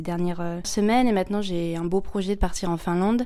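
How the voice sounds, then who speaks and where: Her tone is dark and mellow, and her pitch sits at a medium level for a woman. She talks at a fairly quick pace with fairly even intonation. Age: 20s. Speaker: au pair. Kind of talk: testimony. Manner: hesitant.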